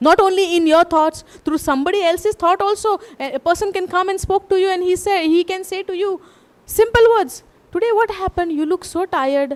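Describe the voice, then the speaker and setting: Spoken in a Goan accent at a fairly quick pace, the voice shows ordinary pitch variation, its sound dry and close with no echo. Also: woman, extremely high pitch for a woman. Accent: Goan Indian English. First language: Konkani. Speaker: preacher. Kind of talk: sermon.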